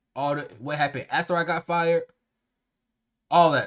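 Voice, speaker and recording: A man with a high voice sounds animated and excited. He talks at a fairly quick pace with ordinary pitch variation. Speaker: YouTuber and streamer. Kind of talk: story time vlog. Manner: animated, excited; halting, many fillers.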